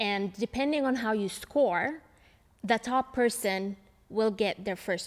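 A woman speaks with ordinary pitch variation. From Palestine, Ramallah. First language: Arabic. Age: 30s. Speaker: lawyer and human rights activist. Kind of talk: interview. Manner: hesitant with many fillers.

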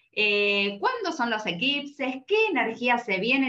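Very wide pitch swings run through a woman's fairly high voice. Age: 40s. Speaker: podcast host. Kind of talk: casual chat.

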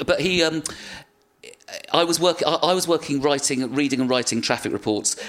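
With a British accent, a man speaks at a fairly quick pace in a fairly high voice, with ordinary pitch variation and very even loudness. He leaves long, frequent pauses. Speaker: comedian and actor. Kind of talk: casual chat.

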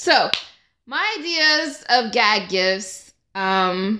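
A woman with an American accent raises and projects her voice. Her tone is bright and sharp, and her pitch swings very widely. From Georgia, US (Stone Mountain). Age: 20s. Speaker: software engineer. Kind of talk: casual chat. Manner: animated.

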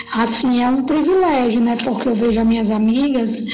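A woman with a fairly high pitch talks amid audible room echo and noticeable background noise. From Ceará interior, northeast Brazil. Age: 40s. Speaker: teacher and master's student. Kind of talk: casual interview.

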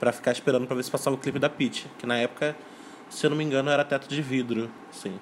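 Noticeable background noise sits behind this recording. A man at medium pitch speaks at a very fast pace. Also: fairly even intonation. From Rio de Janeiro state, Brazil (São Gonçalo). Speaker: music YouTube channel producer. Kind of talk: casual chat.

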